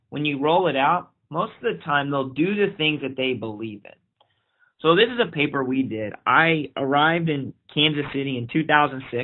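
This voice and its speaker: A fairly high-pitched man in an American accent, lively in intonation, with big swings in loudness at a moderate pace. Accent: slight Oklahoma twang at times. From Oklahoma. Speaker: pediatric infectious disease physician. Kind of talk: webinar lecture. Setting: online webinar.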